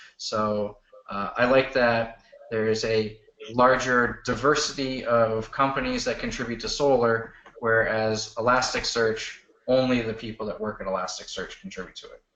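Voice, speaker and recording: In an unremarkable speaking voice, a man talks at a moderate pace with fairly even intonation and big swings in loudness. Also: medium pitch for a man. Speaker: search engine expert. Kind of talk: technical presentation Q&A. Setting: video call.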